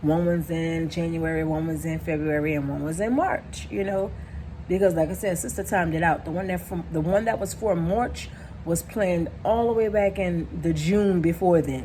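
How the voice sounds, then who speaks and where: A woman with an ordinary speaking voice, fairly low pitch, ordinary pitch variation and a moderate pace. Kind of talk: casual talk to camera.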